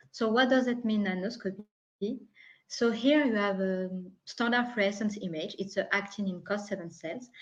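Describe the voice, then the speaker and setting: Speaking in a French accent, a woman uses a somewhat breathy, fairly high voice at a moderate pace with ordinary pitch variation. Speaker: product specialist. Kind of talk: technical presentation. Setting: online webinar.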